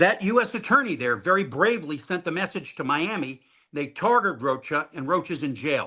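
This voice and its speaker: A man uses a raised, projected voice with a bright, sharp tone, very wide pitch swings and a moderate pace, in a very clean recording with a silent background. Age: 60s. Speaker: former intelligence officer, author. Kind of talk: interview.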